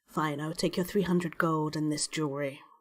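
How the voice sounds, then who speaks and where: A woman puts on a character voice with a very deep, low pitch. Her intonation stays monotone and flat at a fairly quick pace. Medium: actual play. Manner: terse, businesslike.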